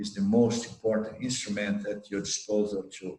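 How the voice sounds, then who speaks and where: At a moderate pace, a man with a fairly low pitch speaks in a monotone, flat intonation. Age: 60s. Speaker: spiritual teacher. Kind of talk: Q&A talk. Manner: halting.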